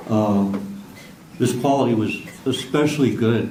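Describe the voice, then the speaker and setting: A voice with an American accent and ordinary pitch variation comes through audible room echo and noticeable background noise. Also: man. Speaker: career firefighter. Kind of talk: memorial speech, partly read from notes. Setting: memorial ceremony with audience. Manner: halting, with stutters.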